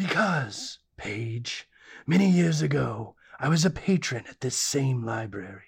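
This put-on character voice sits at a low-to-middle pitch. It moves through very wide pitch swings. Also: fairly slow pace. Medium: audio drama. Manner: grandiose, melodramatic.

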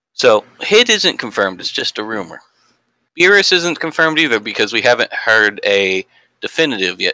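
A man with an American accent at medium pitch, moderate pace, very wide pitch swings, a bright, sharp tone, and a dry, close sound with no echo. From Texas. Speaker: student. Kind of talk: casual chat.

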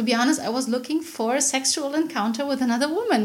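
A woman with a high pitch talks at a fairly quick pace. There is noticeable background noise and audible room echo. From Berlin, Germany. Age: 40s. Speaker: sex party organizer. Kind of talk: casual chat. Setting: home kitchen. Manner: laughs a lot.

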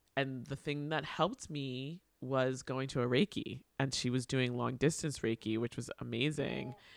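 A man with an unremarkable speaking voice, fairly even intonation and a fairly slow pace, in a very clean recording with a silent background and a dry, close sound with no echo. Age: 40s. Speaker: podcast host, teaching artist. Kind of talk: casual interview chat.

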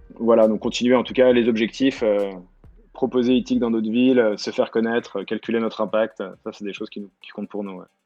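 Music in the background behind a man's medium-pitched, flat, monotone voice at a fairly quick pace, with big swings in loudness. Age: 30s. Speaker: delivery startup co-founder. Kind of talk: interview. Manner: halting.

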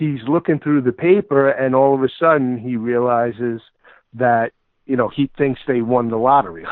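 This man has a medium-pitched voice with an American accent, ordinary pitch variation, and a moderate pace. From New York / New Jersey. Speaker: college football analyst. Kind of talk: interview.

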